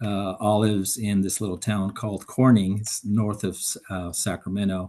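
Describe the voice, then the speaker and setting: The voice has a dark, mellow tone and moves at a moderate pace. Its intonation is flat and monotone. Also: man, fairly low pitch for a man. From Mexico (Jalisco), raised in US from age nine. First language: Spanish. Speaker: environmental professional, panelist. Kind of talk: panel discussion. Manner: halting, many fillers.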